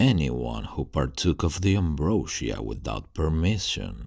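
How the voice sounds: A man's put-on character voice, extremely low-pitched with vocal fry, big pitch swings and a slightly mellow tone, at a fairly slow pace on a very clean recording with a silent background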